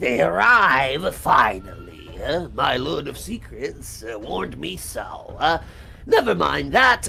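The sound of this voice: A cackling, put-on character voice moves at a fairly slow pace over clear background noise.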